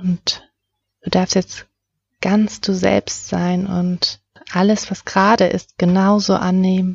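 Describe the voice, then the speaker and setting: A woman of medium pitch speaks very slowly with long, frequent pauses. Her somewhat breathy voice has a soothing, calm tone and monotone, flat intonation. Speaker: meditation guide. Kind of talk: guided meditation. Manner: slow, soothing, calm; soft-spoken, gentle.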